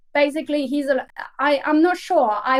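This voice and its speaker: A woman speaks with a non-native accent and ordinary pitch variation. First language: not English. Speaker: crypto foundation speaker and hackathon judge. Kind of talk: live webinar panel talk. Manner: halting, with many repeated words.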